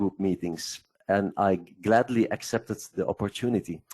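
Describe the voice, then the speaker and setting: Over a quiet background, a man with a non-native accent speaks with ordinary pitch variation. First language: Dutch. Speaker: investment software presenter. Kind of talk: webinar presentation. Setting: online webcast.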